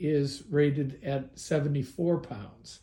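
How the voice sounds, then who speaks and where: A fairly high-pitched, somewhat breathy male voice with a dark, mellow tone and a fairly slow pace. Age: 70s. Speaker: hobbyist video maker. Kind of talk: tutorial. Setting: garage.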